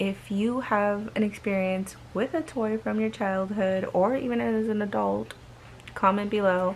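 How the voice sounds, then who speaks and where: Soft-spoken, a woman talks at a fairly slow pace with medium pitch. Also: ordinary pitch variation. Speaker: horror story vlogger. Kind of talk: reading aloud. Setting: bedroom.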